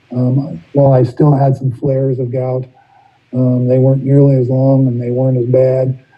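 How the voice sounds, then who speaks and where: Monotone, flat intonation in a man's medium-pitched speech. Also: moderate pace. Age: 60s. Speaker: recovery meeting speaker. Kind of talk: testimony. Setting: video call. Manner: halting.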